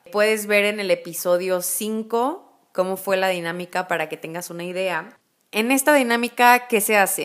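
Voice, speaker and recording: In a Mexican accent, a woman speaks with ordinary pitch variation. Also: medium pitch for a woman, moderate pace. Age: 20s. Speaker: podcast host. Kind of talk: casual monologue. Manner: informal, laughs often.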